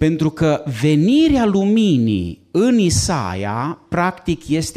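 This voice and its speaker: Speaking very slowly over a quiet background, a man with a fairly high pitch and a dark, mellow tone makes very wide pitch swings. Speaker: pastor. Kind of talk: lecture. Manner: moves around while speaking. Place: classroom. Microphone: handheld.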